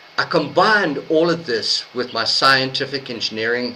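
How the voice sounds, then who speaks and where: Through noticeable background noise, a man with a fairly high pitch speaks at a moderate pace with lively intonation. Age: 60s. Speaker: host of online speakers meeting and author. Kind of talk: prepared speech. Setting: online meeting.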